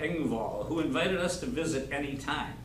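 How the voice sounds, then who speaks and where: Speaking in an American accent at a moderate pace, a man has a fairly high pitch, with audible room echo and noticeable background noise. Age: 70s. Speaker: local storyteller. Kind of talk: storytelling to a live audience. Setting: senior center with audience.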